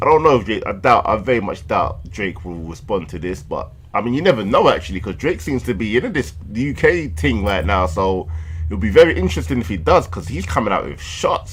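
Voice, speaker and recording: Over noticeable background noise, a man talks at a moderate pace in a fairly low pitch that swings very widely. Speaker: music reaction youtuber. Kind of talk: reaction commentary. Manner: animated.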